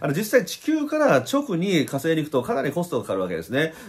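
Over a quiet background, the speaker talks at a fairly quick pace with vocal fry and very wide pitch swings. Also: man. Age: 50s. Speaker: spiritual YouTuber and blogger; spiritual YouTuber, blogger. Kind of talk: casual vlog monologue. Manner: animated. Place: home room. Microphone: phone near.

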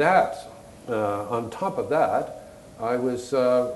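Audible room echo and light background noise accompany a man's speech. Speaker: retired art historian and artist. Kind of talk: panel conversation. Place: stage.

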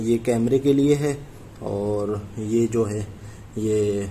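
Against light background noise, the voice keeps a fairly even intonation. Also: man. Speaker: product reviewer. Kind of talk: unboxing product review. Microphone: phone near.

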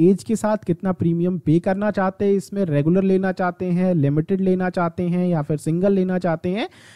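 Recorded dry and close with no echo, a man speaks at a moderate pace with a dark, mellow tone and a high pitch. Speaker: insurance advisor and YouTuber. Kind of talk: tutorial.

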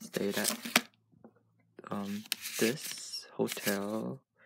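A man speaks over loud background noise. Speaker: vlogger. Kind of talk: casual vlog chat. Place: home room. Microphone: phone near.

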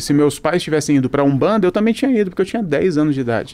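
Very wide pitch swings mark the way this man speaks. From Brazil. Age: 30s. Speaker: pastor. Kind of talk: casual chat. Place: studio. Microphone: studio mic.

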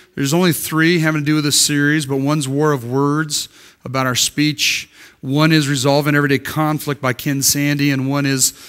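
The speaker keeps a moderate pace with fairly even intonation and very even loudness. The background is quiet. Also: man. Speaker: preacher. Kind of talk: sermon. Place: church.

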